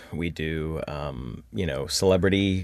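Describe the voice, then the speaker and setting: A man with an American accent speaks at a very deep, low pitch. His intonation is lively, with vocal fry. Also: quiet background. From Indiana, US Midwest. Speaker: voice actor. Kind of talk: casual chat.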